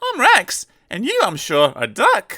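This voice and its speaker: A man puts on a character voice, talking at a fairly slow pace. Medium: read story. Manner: friendly, good-humoured.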